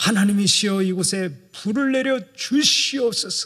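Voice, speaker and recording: Someone uses a put-on character voice, fairly high in pitch and at a moderate pace. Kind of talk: formal, prayer-like. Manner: solemn, grave, dignified.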